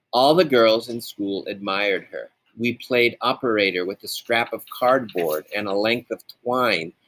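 Ordinary pitch variation runs through a natural reading voice. The background is quiet.

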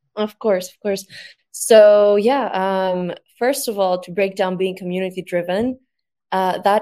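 In a very clean recording with a silent background, a woman with a Greek accent speaks at a moderate pace with a dark, mellow tone and fairly even intonation. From Greece. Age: 20s. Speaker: social media agency founder. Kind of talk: panel discussion.

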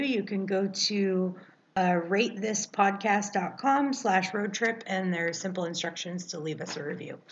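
Speaking fairly slowly, a woman uses an ordinary speaking voice at a medium pitch. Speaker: podcast co-host. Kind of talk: casual chat.

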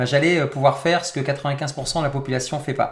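A man's fairly high-pitched, plain, everyday voice at a fairly quick pace, with fairly even intonation. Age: 40s. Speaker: personal development coach. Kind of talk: interactive webinar talk.

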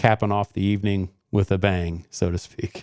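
Against a silent background in a very clean recording, a man with a Midwestern American accent speaks at a very deep, low pitch in a monotone, flat intonation. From Indiana, Johnson County. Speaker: firefighter and fundraiser organizer. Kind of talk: radio interview. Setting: studio.

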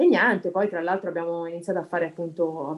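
A woman speaks in a plain, everyday voice. Her pitch sits fairly low and her intonation stays fairly even. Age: 30s. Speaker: amateur dancer. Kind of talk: interview.

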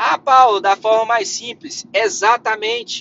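The man's voice is high in pitch. He talks at a fairly slow pace. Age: 20s. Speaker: career podcast host. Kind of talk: solo podcast monologue. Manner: animated.

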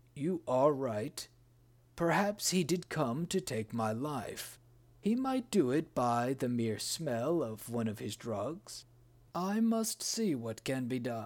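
Recorded very cleanly against silence, a man at medium pitch speaks fairly slowly with very wide pitch swings. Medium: read story. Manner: suspicious, commanding.

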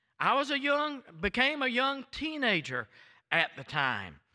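In a raised, projected voice with a bright, sharp tone, a man talks at a fairly slow pace with an American accent. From US South, Florida. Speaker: visiting preacher. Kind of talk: sermon. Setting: church. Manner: fiery, animated.

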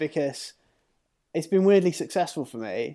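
Recorded very cleanly with a silent background, a man with a high pitch speaks at a fairly quick pace. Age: 40s. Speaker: freelance graphic designer and illustrator. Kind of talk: casual chat.

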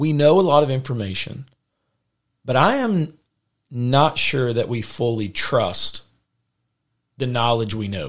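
A man with a Southern US accent talks at a fairly slow pace, leaving long, frequent pauses. His medium pitch carries lively intonation. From US South.

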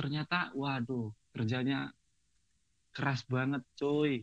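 This man has a fairly high pitch. The sound is dry and close, with no echo. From Central Java, Sragen. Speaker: barber. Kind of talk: casual chat.

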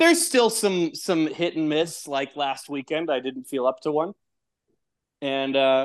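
A man's fairly high voice, an ordinary speaking voice with an American accent, lively intonation and a fairly slow pace against a quiet background. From Texas. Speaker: podcaster. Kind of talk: casual chat.

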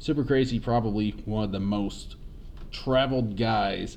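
Audible room echo surrounds a man speaking at a moderate pace with a fairly low pitch. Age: 20s. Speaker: podcast host. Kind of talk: casual chat.

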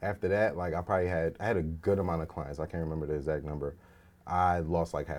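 Against a silent background on a very clean recording, a man speaks very fast in a very deep, low voice with fairly even intonation. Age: 30s. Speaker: real estate investor and entrepreneur. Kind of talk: casual interview.

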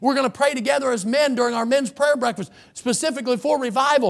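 The man's voice is extremely high in pitch. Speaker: pastor. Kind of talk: sermon; sermon, reading scripture aloud carefully. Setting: church. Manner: earnest, preacherly, instructive.

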